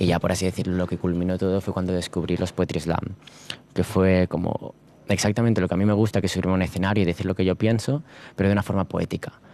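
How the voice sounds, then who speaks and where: A man with a very deep, low voice and a dark, mellow tone rattles along very fast, his loudness very even and his intonation flat and monotone. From Spain (Barcelona area). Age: 20s. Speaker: slam poet and university student. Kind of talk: interview.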